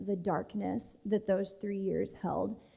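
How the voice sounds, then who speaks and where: With an American accent, a woman speaks at a very slow pace in a dark, mellow tone. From Texas. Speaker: church speaker sharing testimony. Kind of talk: testimony. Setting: church stage with audience.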